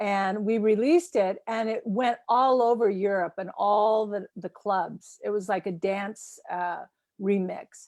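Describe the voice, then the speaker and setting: A woman with an unremarkable speaking voice, medium in pitch, at a fairly slow pace, with ordinary pitch variation, in a very clean recording with a silent background. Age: 60s. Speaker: film festival interviewer, singer. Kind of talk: interview.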